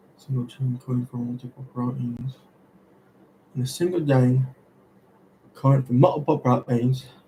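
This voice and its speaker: A man at a medium pitch speaks with a dark, mellow, somewhat breathy tone and fairly even intonation at a moderate pace, with long, frequent pauses. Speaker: student streaming study sessions. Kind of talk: live study stream, thinking aloud. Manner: halting, self-correcting.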